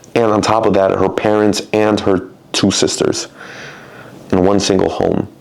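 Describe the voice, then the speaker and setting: At a middling speed a man talks, with background noise clearly noticeable. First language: Spanish. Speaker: personal trainer. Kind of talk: casual monologue.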